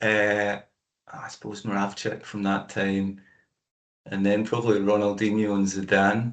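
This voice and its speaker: With a Scottish accent, a man of fairly low pitch speaks in a monotone, flat intonation with long, frequent pauses. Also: fairly slow pace. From Scotland, Aberfoyle (Stirlingshire). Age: 40s. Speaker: amateur endurance runner. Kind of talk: casual interview chat.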